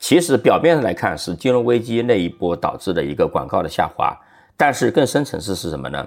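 In a very clean recording with a silent background, a man at medium pitch talks at a fairly quick pace, using very wide pitch swings and vocal fry. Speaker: venture capital investor and former journalist. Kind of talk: casual interview.

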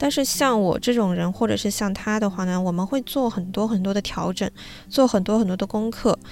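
This woman talks at a fairly quick pace. Her pitch sits in the medium range and varies in an ordinary way. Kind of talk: casual monologue. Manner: gentle, soothing.

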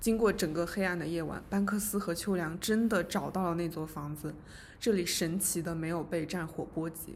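This woman talks at a moderate pace with a fairly low pitch and a somewhat breathy quality. Her intonation stays fairly even. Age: 20s. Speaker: podcast co-host, literature graduate student. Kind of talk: casual book discussion.

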